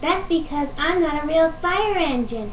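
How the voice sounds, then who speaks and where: A female-sounding put-on character voice pitched extremely high. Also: moderate pace. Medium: fan dub. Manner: warm, enthusiastic.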